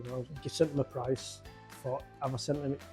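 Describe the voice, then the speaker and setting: Over background music, a man talks at a very fast pace in a monotone, flat intonation. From Yorkshire, England. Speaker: mobile pizza business owner. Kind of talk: interview answer.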